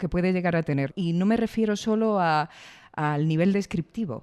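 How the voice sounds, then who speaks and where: Recorded very cleanly against a silent background, the speech moves at a moderate pace. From Andalusia, Granada. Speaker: podcast interviewer. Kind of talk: interview. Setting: recording space in Madrid.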